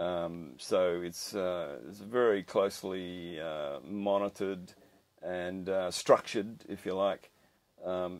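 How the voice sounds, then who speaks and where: A man at a very slow pace with a very deep, low pitch. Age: 60s. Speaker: commercial fisherman. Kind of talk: interview. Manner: halting, many fillers.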